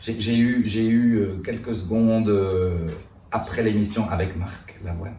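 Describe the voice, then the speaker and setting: A man with a Brussels accent, fairly low-pitched, very slow, with fairly even intonation over noticeable background noise. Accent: Belgian French (Brussels). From Brussels, Belgium. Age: 50s. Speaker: drag cabaret performer. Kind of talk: interview answer.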